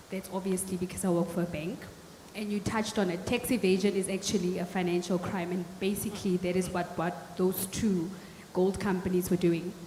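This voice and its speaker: A woman talks at a moderate pace and a medium pitch. Her intonation is fairly even, and there is noticeable background noise. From South Africa, Northern Cape (Kimberley). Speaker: audience member asking questions at a panel. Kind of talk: audience question at panel discussion.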